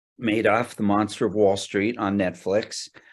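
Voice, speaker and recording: A man with a fairly low pitch is captured in a very clean recording against a silent background. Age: 60s. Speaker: actor. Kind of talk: interview. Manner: hesitant, many fillers.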